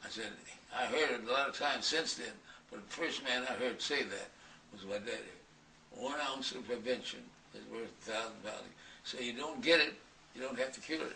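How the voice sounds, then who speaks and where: Amid noticeable background noise and audible room echo, a man speaks at medium pitch and a moderate pace, with ordinary pitch variation, big swings in loudness, and long, frequent pauses. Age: 80s+. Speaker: centenarian author. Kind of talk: interview storytelling. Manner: halting.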